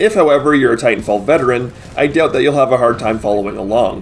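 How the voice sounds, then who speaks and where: A man talks at a very fast pace with a fairly high pitch. Noticeable background noise runs behind him. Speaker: gaming commentator. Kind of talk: scripted narration. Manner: few pauses.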